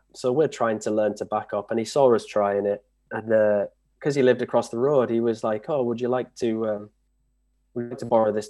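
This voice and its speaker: Dark and mellow in tone, a man with a Yorkshire accent talks at a fairly quick pace with fairly even intonation. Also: medium pitch for a man, quiet background. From northern England. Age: 30s. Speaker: trials bike rider. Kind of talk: casual interview.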